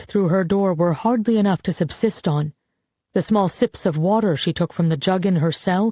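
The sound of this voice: An unforced reading voice, with ordinary pitch variation, is heard against a quiet background.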